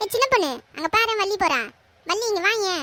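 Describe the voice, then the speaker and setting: Squeaky and cartoonish, this character voice moves at a moderate pace with lively intonation. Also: woman, extremely high pitch for a woman. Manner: chatty, complaining.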